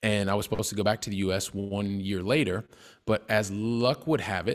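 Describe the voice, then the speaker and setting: Over a quiet background, a man talks at a fairly quick pace with an American accent. His pitch is fairly low, with ordinary pitch variation. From US Midwest (Ohio, Colorado, Texas). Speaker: real estate investor; podcast guest. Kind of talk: interview. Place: home room. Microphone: studio mic.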